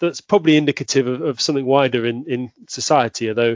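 A man with a southern English accent talks at a very fast pace. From southwest London, England. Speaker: Anglican priest. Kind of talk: casual interview. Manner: halting, many fillers.

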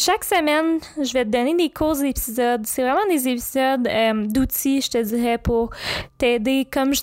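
A woman with a Quebec accent speaks at a high pitch and a fairly slow pace. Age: 20s. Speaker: podcast host and creativity coach. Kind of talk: podcast trailer monologue. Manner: casual, conversational.

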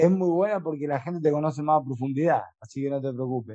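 This man talks at a moderate pace with an Argentine accent, his fairly high voice carrying a dark, mellow tone. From Argentina. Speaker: podcast co-host. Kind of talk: casual chat. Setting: video call.

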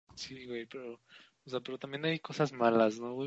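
A man's plain, everyday voice at a medium pitch, with fairly even intonation. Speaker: podcast co-host. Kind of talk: casual chat.

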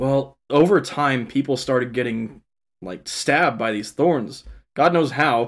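A man's normal speaking voice with an American accent, medium pitch and ordinary pitch variation at a fairly slow pace, on a very clean recording with a silent background. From Kansas and Texas. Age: 20s. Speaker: podcast co-host. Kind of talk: casual chat.

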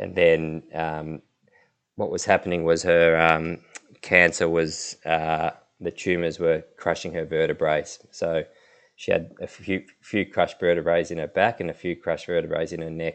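With an Australian accent, a man talks in a very deep, low pitch at a moderate pace. His intonation is monotone and flat. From Melbourne, Australia. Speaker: retired cricketer. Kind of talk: interview.

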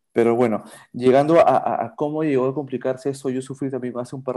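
A man's medium-pitched voice, dark and mellow in tone, at a fairly quick pace, on a very clean recording with a silent background. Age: 40s. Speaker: patient, advertising professional and musician. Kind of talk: casual interview. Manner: hesitant, with fillers and repetitions.

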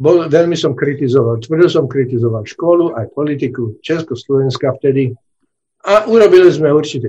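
A man's somewhat breathy, dark and mellow voice, fairly high in pitch, at a moderate pace. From Slovakia, Nové Zámky. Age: 70s. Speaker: retired scientist. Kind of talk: interview.

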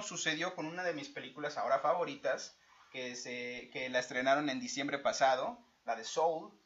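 With a Mexican accent, a man talks at a moderate pace. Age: 30s. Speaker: podcast co-host. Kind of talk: casual chat. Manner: animated.

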